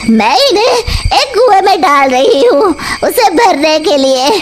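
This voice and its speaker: A woman's cartoonish character voice, extremely high in pitch, over clear background noise. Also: fairly slow pace. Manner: cackling.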